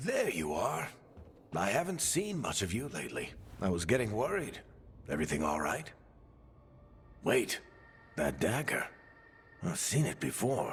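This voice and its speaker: A man puts on a raspy character voice at medium pitch and a moderate pace. Long, frequent pauses break it up, and background noise is clearly audible. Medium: video game. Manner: wry, weary.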